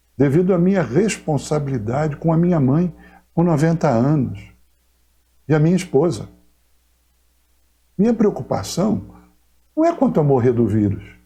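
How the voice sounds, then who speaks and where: Pausing long and often, a man of fairly high pitch and dark, mellow tone speaks at a moderate pace, with very wide pitch swings and very even loudness. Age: 60s. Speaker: pastor. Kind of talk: pastoral message to congregation. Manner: formal.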